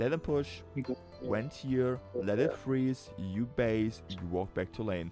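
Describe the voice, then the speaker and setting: With a strong German accent, a man speaks at a fairly slow pace with a fairly low pitch and lively intonation while music plays in the background. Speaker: League of Legends coach. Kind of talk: game coaching commentary. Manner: casual.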